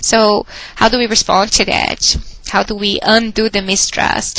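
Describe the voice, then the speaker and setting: A woman talks at a fairly slow pace, with vocal fry in her voice. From Brazil. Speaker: professor. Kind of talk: lecture. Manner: hesitant with fillers and repetitions.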